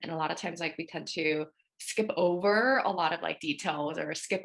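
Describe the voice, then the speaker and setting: Her voice has a fairly low pitch and a bright, sharp tone as this woman speaks with an American accent at a moderate pace with ordinary pitch variation. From Korea, raised in US. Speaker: therapist. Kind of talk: podcast panel discussion.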